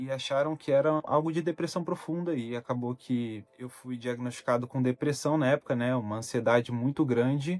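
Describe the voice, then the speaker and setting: A man with a normal speaking voice talks at a moderate pace and medium pitch. His pitch varies in an ordinary way, and the sound is dry and close with no echo. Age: 20s. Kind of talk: personal talk to camera about mental health.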